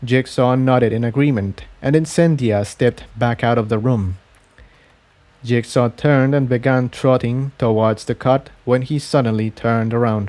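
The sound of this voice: At a fairly slow pace, a man speaks at a medium pitch with fairly even intonation and a slightly mellow tone.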